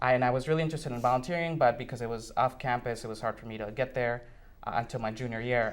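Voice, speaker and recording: This man speaks in a Spanish accent at a medium pitch. His pace is very fast. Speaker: university student. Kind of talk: interview. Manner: hesitant, many fillers.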